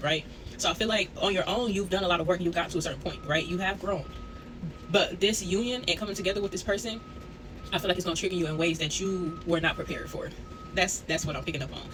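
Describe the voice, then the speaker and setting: Music plays in the background. The speaker talks at a very fast pace. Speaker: tarot reader. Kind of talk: tarot reading. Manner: casual, conversational.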